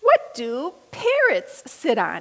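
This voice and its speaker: Extremely high pitch and a squeaky tone in a woman's put-on character voice. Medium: read story.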